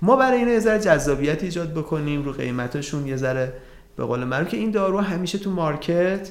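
A man's high-pitched voice with audible room echo. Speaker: pharmacist and drug economics lecturer. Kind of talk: interview. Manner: halting.

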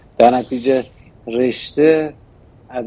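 With a normal speaking voice, a man talks at a medium pitch with fairly even intonation. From Iran, Shiraz. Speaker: investment firm board member. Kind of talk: interview. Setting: studio.

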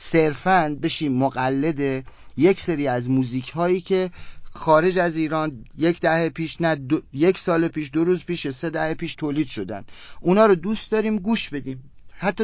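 A plain, everyday voice from a man, fairly high in pitch, with ordinary pitch variation at a moderate pace. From Iran, Kerman. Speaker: rock musician. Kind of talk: interview.

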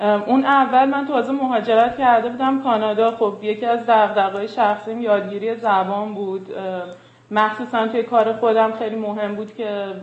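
A woman with a fairly high pitch talks in a flat monotone at a moderate pace, with audible room echo. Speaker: filmmaker and artist. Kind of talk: casual interview.

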